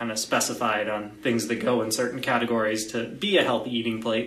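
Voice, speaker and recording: Over noticeable background noise and audible room echo, a man speaks fairly quickly at a medium pitch in a monotone, flat intonation. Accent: American. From Florida. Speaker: dietitian. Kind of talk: interview on nutrition.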